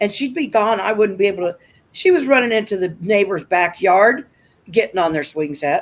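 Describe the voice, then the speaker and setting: Using an ordinary speaking voice, a woman talks with lively intonation at a medium pitch. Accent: American. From US Midwest, rural Nebraska. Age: 60s. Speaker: livestream host. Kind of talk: casual chat.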